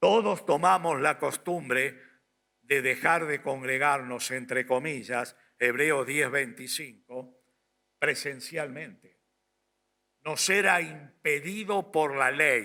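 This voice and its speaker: This man's fairly high voice has a bright, sharp tone and ordinary pitch variation, and he speaks at a very slow pace. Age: 60s. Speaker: pastor. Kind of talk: sermon.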